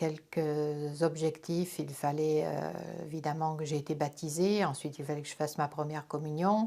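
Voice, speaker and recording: The recording is very clean with a silent background. A woman speaks in a very deep, low voice with a dark, mellow tone and monotone, flat intonation. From France, Corrèze. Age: 60s. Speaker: interviewee sharing religious conversion story. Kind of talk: testimony. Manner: hesitant, frequent fillers.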